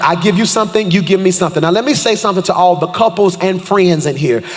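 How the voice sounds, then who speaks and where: Very fast and animated, the speech has ordinary pitch variation over noticeable background noise. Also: man. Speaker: pastor. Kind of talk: sermon. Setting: church stage.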